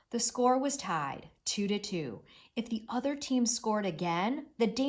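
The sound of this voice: The voice reads in an unforced way.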